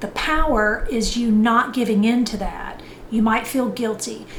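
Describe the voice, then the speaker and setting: With audible room echo and noticeable background noise, a woman speaks at a fairly high pitch with fairly even intonation. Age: 60s. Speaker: fitness and lifestyle vlogger. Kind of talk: motivational talk. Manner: conversational.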